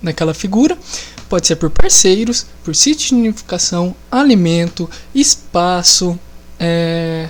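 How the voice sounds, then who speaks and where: A woman's fairly low-pitched voice at a fairly slow pace, lively in intonation, over noticeable background noise. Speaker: biology teacher. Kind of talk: lecture. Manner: casual.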